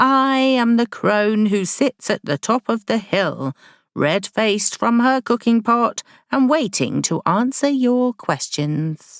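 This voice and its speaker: Using a put-on character voice, a woman speaks at a fairly high pitch and fairly slow pace on a very clean recording with a silent background. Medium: read story. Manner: placid, cryptic, benevolent.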